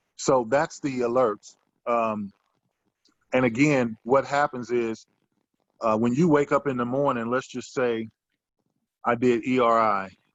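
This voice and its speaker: With long, frequent pauses, a man of medium pitch talks at a fairly slow pace and keeps his intonation fairly even. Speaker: options trading teacher. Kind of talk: tutorial.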